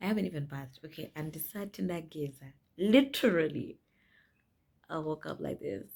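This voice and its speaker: Vocal fry runs through a woman's very deep, low voice. She keeps a moderate pace but leaves long, frequent pauses. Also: lively intonation. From Zimbabwe. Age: 20s. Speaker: lifestyle vlogger. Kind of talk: casual talk to camera.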